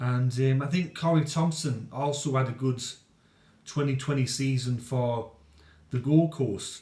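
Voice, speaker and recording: A man's medium-pitched, somewhat breathy voice, dark and mellow in tone, with fairly even intonation at a fairly slow pace. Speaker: rugby league commentator. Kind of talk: casual sports review to camera.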